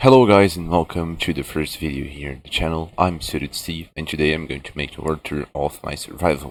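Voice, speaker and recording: A man's very deep, low voice with vocal fry and a non-native accent, fairly quick with hardly any pauses, ordinary pitch variation and big swings in loudness, on a very clean recording with a silent background. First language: not English. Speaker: gaming video creator. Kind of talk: gameplay tour narration.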